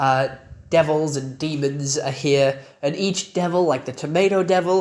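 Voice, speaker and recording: The speaker talks at a fairly slow pace. Noticeable background noise runs underneath. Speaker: anime reviewer. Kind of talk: video review. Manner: casual, filler words.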